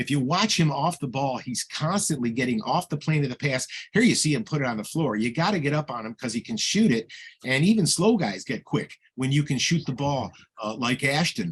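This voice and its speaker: A man talks fairly quickly, his voice somewhat breathy. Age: 70s. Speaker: basketball analyst. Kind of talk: highlight commentary.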